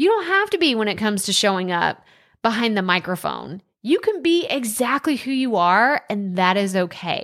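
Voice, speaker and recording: In a very clean recording with a silent background, a woman with an American accent speaks at a moderate pace in an animated tone, fairly high-pitched with lively intonation. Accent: Texan country accent, can be thick. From Texas. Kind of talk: monologue. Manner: loud.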